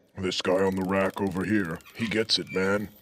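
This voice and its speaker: Putting on a character voice, a man speaks at a moderate pace in a very deep, low pitch with monotone, flat intonation. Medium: audio drama.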